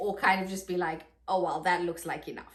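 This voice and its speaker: The speaker has a South African accent and an animated tone. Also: woman. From South Africa, Johannesburg. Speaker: vlogger. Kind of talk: casual vlog monologue. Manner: chatty, animated.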